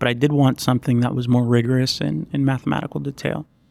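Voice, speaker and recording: This is a man speaking. He has a Puerto Rican accent. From Puerto Rico. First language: Spanish. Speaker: PhD student, computational neuroscientist. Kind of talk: interview.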